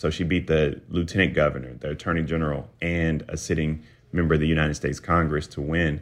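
Very deep and low, a man's voice carries a South Carolina accent. He speaks at a very fast pace in a monotone, flat intonation. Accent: South Carolina Southern. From US South. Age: 30s. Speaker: political commentator. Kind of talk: interview.

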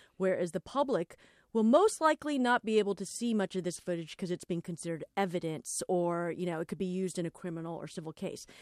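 In a very clean recording with a silent background and a dry, close sound with no echo, a woman with an American accent talks very fast at a medium pitch with ordinary pitch variation. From Los Angeles. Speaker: podcast host. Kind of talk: casual chat.

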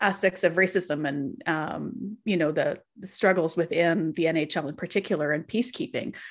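Against a quiet background, a woman with a western Canadian accent speaks at a moderate pace in a fairly low voice. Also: ordinary pitch variation, hardly any pauses. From Canadian Prairies (Calgary area). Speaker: author. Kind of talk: casual interview chat.

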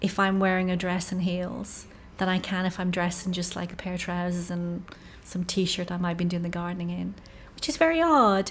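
A woman speaks at a medium pitch with an Irish accent. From Ireland. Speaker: stand-up comedian and novelist. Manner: low-energy, soft-spoken.

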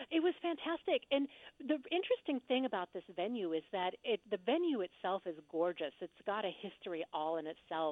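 A woman at a medium pitch with very wide pitch swings, at a moderate pace with hardly any pauses. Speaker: actress and theater reviewer. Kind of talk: casual interview chat.

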